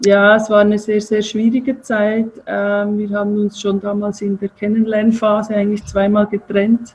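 A woman with a Swiss accent speaks at a moderate pace in a medium pitch, her intonation monotone and flat, with hardly any pauses. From Switzerland, Zurich. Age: 50s. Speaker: self-employed health practitioner. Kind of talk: interview.

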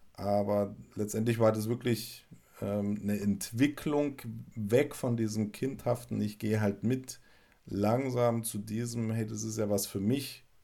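A man speaks very slowly in a fairly low pitch. His tone is dark and mellow, his intonation fairly even. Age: 40s. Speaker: bereaved husband sharing faith story. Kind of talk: testimony. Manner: halting.

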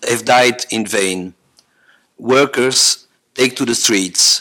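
A man at a medium pitch and a very slow pace. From French-speaking Belgium. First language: French. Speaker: psychiatrist and family therapist. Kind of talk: reading a lecture paper. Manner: halting.

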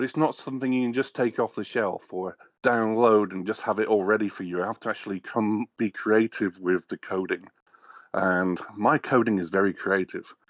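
Here a man talks with an English accent. His pace is moderate. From England. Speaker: game programmer. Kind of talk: casual chat.

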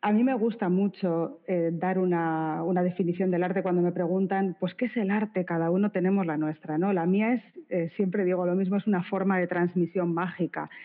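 Delivered at a moderate pace with fairly even intonation and very even loudness, this is a plain, everyday voice. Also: woman, medium pitch for a woman. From Spain, Bilbao (Basque Country). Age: 40s. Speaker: art curator and critic. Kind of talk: interview conversation.

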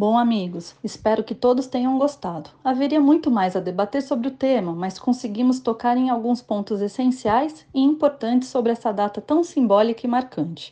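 The voice has a dark, mellow tone and lively intonation, moving at a moderate pace with hardly any pauses. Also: woman, high pitch for a woman. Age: 40s. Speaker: notary and podcast host. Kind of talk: scripted outro.

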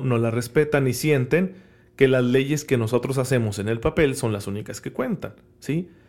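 In an ordinary speaking voice, a man talks at a moderate pace and medium pitch with ordinary pitch variation, recorded very cleanly against a silent background. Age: 30s. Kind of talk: homily-style podcast talk.

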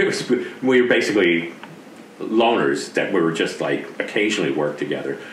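Noticeable background noise accompanies a man talking with an American accent. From US East Coast. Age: 60s. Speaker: retired special effects artist. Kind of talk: casual interview.

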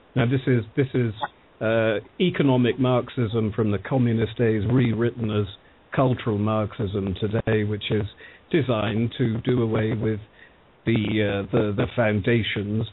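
A man with a British accent speaks at a fairly slow pace and medium pitch. His loudness is very even, his intonation fairly even. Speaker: political panelist. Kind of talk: radio panel discussion.

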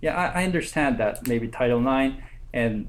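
A medium-pitched man with a Korean accent at a fairly quick pace. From South Korea. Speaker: graduate student. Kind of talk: academic presentation. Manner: halting.

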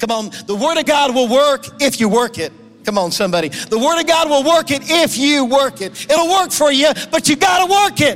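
A man's extremely high voice, moderate pace and lively intonation, with music in the background. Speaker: guest preacher and prayer movement leader. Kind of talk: sermon with fervent, pleading prayer at the close. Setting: church with congregation. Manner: intense, urgent, pleading, passionate.

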